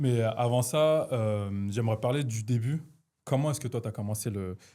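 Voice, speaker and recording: The recording is very clean with a silent background. A man at a medium pitch speaks at a moderate pace with ordinary pitch variation. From Lyon, France. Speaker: podcast host. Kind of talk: casual interview. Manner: hesitant, many fillers.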